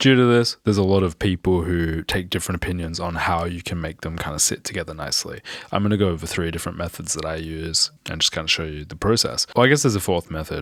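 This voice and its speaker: This man talks at a very fast pace with hardly any pauses, his very deep, low voice carrying an Australian accent in a dry, close sound with no echo. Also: ordinary pitch variation. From Australia, Perth. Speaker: music producer and mixing engineer. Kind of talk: tutorial. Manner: casual.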